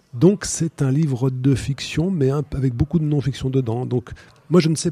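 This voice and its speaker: A man with a somewhat breathy voice and a dark, mellow tone speaks at a moderate pace with lively intonation, in a dry, close sound with no echo. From France, Loire valley. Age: 50s. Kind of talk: radio interview.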